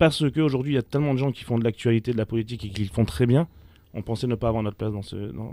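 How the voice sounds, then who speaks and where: A man's dark, mellow voice at a very fast pace, with big swings in loudness, ordinary pitch variation and a dry sound with no echo. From France, Nice; France. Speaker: magazine founder; radio guest. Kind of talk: radio interview. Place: studio. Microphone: studio mic.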